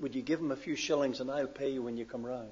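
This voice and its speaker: With a Northern Irish accent, a man talks using fairly even intonation. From Northern Ireland. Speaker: pastor. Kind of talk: sermon. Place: church. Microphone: podium.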